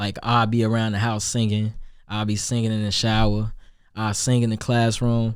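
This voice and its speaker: A man at a moderate pace with monotone, flat intonation, on a very clean recording with a silent background. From Chicago, South Side. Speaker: rapper and singer. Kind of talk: interview.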